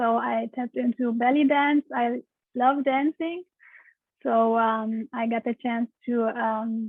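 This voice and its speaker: With a Romanian accent, a woman talks at a very slow pace with fairly even intonation. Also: fairly high pitch for a woman. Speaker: pelvic steam practitioner. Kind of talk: interview answer.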